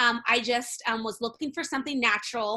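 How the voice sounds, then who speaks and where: A woman talks at a very fast pace with a bright, sharp tone. Her intonation stays fairly even. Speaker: essential oils business presenter and bakery owner. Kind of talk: webinar presentation.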